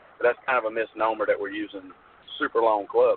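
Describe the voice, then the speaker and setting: Noticeable background noise sits behind the voice. The pace is fairly quick. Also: man. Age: 40s. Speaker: long drive competitor and board member. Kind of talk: radio interview. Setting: phone call from a truck.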